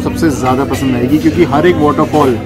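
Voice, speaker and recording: A man talks over loud background music. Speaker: travel vlogger. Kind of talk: casual vlog chat. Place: cafe. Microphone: phone near.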